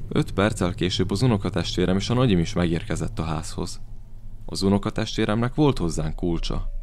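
With vocal fry and a very deep, low pitch, a man speaks at a moderate pace with ordinary pitch variation. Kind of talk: horror narration, first-person storytelling.

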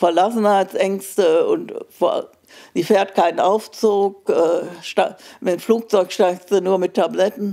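The woman speaks very slowly. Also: quiet background. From Germany, Münster; Germany. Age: old. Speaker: Holocaust survivor; witness. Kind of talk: interview answer. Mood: calm, reflective, somber. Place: home room. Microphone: handheld.

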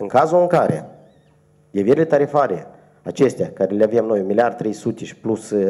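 Against a quiet background, a man speaks in a dark, mellow tone with lively intonation. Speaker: energy regulator official. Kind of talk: press conference. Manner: formal. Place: meeting room. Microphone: podium.

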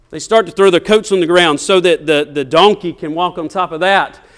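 Against a quiet background, a man speaks at a moderate pace in a high pitch with ordinary pitch variation. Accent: Southern US. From US South. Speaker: preacher. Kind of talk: sermon. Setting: church. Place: church.

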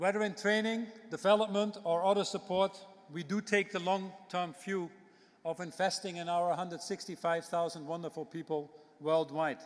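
At a moderate pace, a man talks in a high pitch with fairly even intonation over a quiet background. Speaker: speaker. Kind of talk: keynote speech, then panel answer. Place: hall. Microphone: podium.

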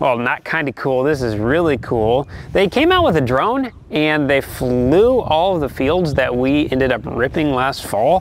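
A man with an American accent, fairly high in pitch, with lively intonation at a fairly slow pace, over noticeable background noise. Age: 20s. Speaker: farmer and YouTuber. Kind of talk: vlog narration.

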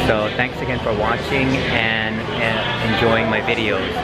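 The speech moves at a fairly slow pace. Loud music plays in the background. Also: man. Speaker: travel vlogger. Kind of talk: casual vlog chat. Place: station. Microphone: phone near.

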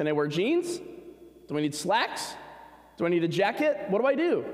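Audible room echo and very wide pitch swings. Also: man. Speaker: preacher. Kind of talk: sermon. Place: church.

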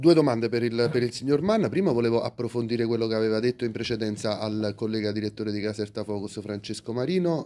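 The voice has a dark, mellow tone and races along at a very fast pace. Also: man. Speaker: journalist asking questions. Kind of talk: press Q&A. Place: meeting room.

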